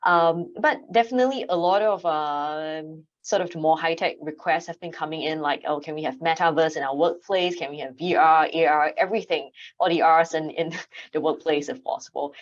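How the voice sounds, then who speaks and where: A woman with a Singaporean accent speaks at a moderate pace in a fairly low pitch with ordinary pitch variation. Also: quiet background. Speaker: AV consultant. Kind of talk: panel discussion. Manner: hesitant, many fillers.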